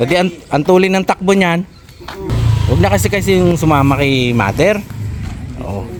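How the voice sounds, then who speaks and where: A man speaks at a moderate pace and fairly high pitch with very wide pitch swings. Noticeable background noise runs underneath. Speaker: vlogger. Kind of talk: casual chat. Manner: animated.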